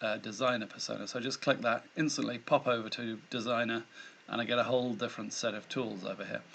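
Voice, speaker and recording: This man has a British accent and a medium pitch. He speaks very fast with monotone, flat intonation. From Britain. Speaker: tutorial maker. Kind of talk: tutorial. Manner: casual, self-deprecating with hesitations.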